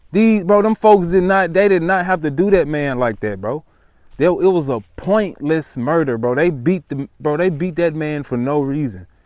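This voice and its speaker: With an American accent and an animated tone, a man speaks at a moderate pace in a fairly high pitch, his intonation lively. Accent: slightly changed Memphis. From US South, Memphis, Tennessee. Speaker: vlogger. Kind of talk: casual talk to camera. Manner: animated, repetitive.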